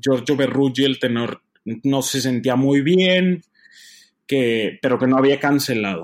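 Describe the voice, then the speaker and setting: A man with an unremarkable speaking voice and medium pitch talks at a fairly slow pace in a very clean recording with a silent background. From Mexico, Torreón. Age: 20s. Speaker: opera tenor. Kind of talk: interview.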